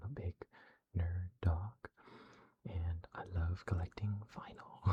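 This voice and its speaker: Somewhat breathy, a man talks with a very deep, low pitch and a dark, mellow tone. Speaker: ASMR creator. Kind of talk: ASMR casual chat. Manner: halting.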